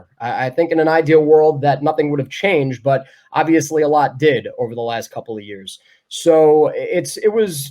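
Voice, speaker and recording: A man with an unremarkable speaking voice talks at a moderate pace. His intonation is lively. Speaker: baseball radio play-by-play announcer. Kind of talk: interview answer.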